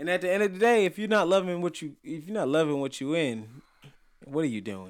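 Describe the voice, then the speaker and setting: A man speaks very fast in a high voice on a very clean recording with a silent background. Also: lively intonation. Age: 20s. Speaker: podcast co-host. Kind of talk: casual chat.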